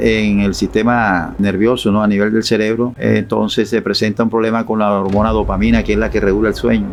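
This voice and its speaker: Fairly low male voice at a fairly quick pace, with ordinary pitch variation. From Colombia, Barranquilla (Caribbean coast). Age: 60s. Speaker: retired teacher giving religious testimony. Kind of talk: interview testimony. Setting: live stream interview. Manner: halting, with repetitions.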